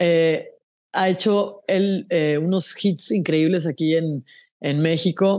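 At a very slow pace, a woman speaks with fairly low pitch, fairly even intonation and very even loudness against a quiet background. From Mexico, San José del Cabo, Baja California Sur; Baja California Sur, Mexico. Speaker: singer-songwriter; interviewee. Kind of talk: casual interview. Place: home room. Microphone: earbuds.

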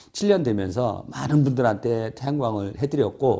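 A man speaks at a very slow pace, with a medium pitch and a dark, mellow tone. The background is quiet. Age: 50s. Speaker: solar investment broker; solar sales director. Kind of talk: informational monologue. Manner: halting, many fillers. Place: office.

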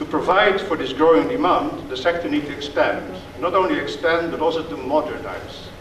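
A man speaks with a high pitch. Audible room echo and light background noise surround his voice. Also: ordinary pitch variation, fairly quick pace. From Netherlands. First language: Dutch. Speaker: diplomat. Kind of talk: speech. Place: hall. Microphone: podium.

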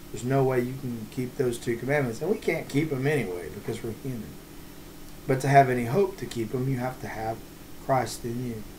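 A man's medium-pitched voice at a fairly quick pace, with ordinary pitch variation over light background noise. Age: 40s. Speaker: pastor. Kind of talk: devotional bible teaching. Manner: halting, many fillers. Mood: earnest, calm. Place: home room. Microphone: webcam.

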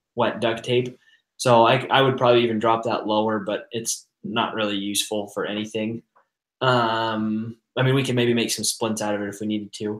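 Speech comes at a moderate pace with flat, monotone intonation. The room echo is audible, and the background is quiet. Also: man. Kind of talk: group discussion explanation. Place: home room.

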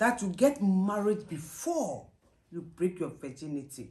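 A woman speaks very slowly with a Ghanaian accent, her pitch swinging very widely. Her tone is dark and mellow and somewhat breathy. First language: Twi. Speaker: mother answering daughter's questions. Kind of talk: interview answer. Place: home room. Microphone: camera far.

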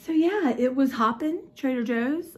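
The woman talking has a somewhat breathy voice. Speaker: vlogger. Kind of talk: casual vlog chat. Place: kitchen. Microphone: phone near.

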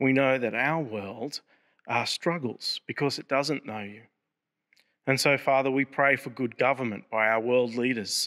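A man with an Australian accent and a bright, sharp tone, fairly slow and fairly even in intonation, against a quiet background. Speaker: prayer leader. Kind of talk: fervent prayer. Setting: church service video. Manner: earnest; solemn and reverent. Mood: calm, earnest, reverent. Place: church. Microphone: podium.

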